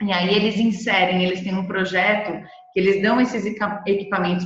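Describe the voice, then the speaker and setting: A woman speaks with monotone, flat intonation. The room echo is audible and the background noise is noticeable. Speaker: presenter from B Corp movement organization. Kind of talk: webinar presentation.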